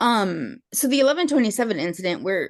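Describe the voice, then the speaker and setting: A plain, everyday voice carries lively intonation. The background is quiet. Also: woman. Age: 30s. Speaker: respondent in court hearing. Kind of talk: testimony.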